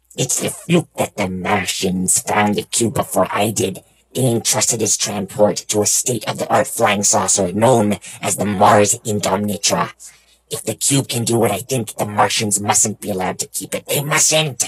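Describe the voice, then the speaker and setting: In a put-on character voice, a man speaks at a fairly low pitch. The pace stays moderate. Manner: urgent, scheming.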